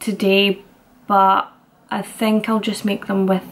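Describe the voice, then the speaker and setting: A woman's somewhat breathy voice. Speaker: fitness vlogger. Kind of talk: tutorial. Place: kitchen. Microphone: phone near.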